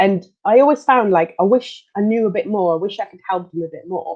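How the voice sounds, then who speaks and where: A woman with a Belgian accent speaks at a moderate pace with a medium pitch and lively intonation. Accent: European, Belgian. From Belgium, Leuven. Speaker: occupational therapist. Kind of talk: interview.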